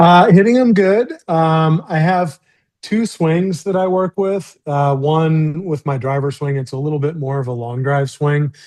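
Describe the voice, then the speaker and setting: With a Midwestern American accent, a man talks at a fairly slow pace in a fairly high pitch, using ordinary pitch variation. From US Midwest (rural Missouri). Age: 50s. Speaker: professional golfer. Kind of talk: interview. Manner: halting, many fillers.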